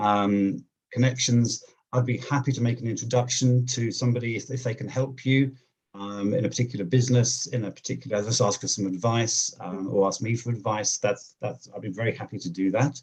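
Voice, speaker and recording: This man has a medium-pitched voice and a southern English accent. He talks fairly quickly with fairly even intonation. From England, near London. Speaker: job seeker, accountant. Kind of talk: interview on video call. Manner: fast; halting, many fillers and repeats.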